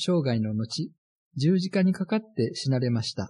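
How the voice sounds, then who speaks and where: A man's dark, mellow tone with very wide pitch swings against a quiet background. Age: 70s. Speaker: radio pastor. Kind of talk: sermon.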